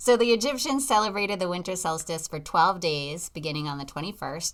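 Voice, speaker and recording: Speaking at a fairly quick pace in a Boston accent, a woman shows ordinary pitch variation on a very clean recording with a silent background. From Massachusetts, US. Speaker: podcast host. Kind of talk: casual chat.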